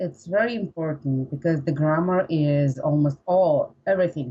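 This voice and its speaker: A woman speaks at a fairly slow pace with a dark, mellow tone. Her voice is somewhat breathy, with ordinary pitch variation. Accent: Russian. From Russia. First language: Russian. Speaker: English learner, pharmacist. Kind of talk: interview. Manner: halting.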